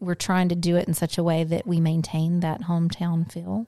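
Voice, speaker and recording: Speaking at a moderate pace, a woman with a Southern US accent has a fairly low-pitched voice. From Atlanta, Georgia, then Birmingham, Alabama from age 11. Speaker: podcast co-host. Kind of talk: casual chat. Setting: home studio. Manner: animated, frequent laughter.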